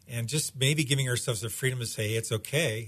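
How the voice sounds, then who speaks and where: A man with a normal speaking voice, fairly quick pace, ordinary pitch variation, quiet background. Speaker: pastor. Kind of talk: casual interview chat. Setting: studio.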